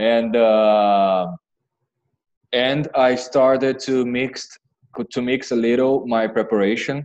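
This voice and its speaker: A man speaks with a Brazilian Portuguese accent and fairly even intonation. His pace is very slow, broken by long, frequent pauses. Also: medium pitch for a man. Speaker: MBA applicant. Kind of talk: interview. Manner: halting.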